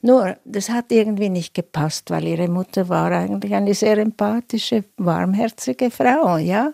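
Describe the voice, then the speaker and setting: A woman's dark, mellow voice at a medium pitch and fairly slow pace, with ordinary pitch variation, in a dry, close sound with no echo on a very clean recording with a silent background. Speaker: psychoanalyst. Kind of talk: interview excerpt.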